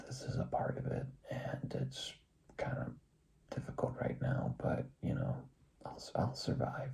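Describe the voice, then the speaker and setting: A man whispers in an American accent at a fairly slow pace. Audible room echo and noticeable background noise surround him. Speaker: vlogger. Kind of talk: personal vlog monologue. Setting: home recording at night. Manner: quieter than usual; hesitant, many fillers.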